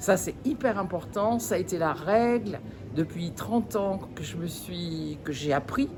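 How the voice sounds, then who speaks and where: A woman's voice at a fairly slow pace. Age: 60s. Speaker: network marketing distributor. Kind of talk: testimony. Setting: event. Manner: animated; halting.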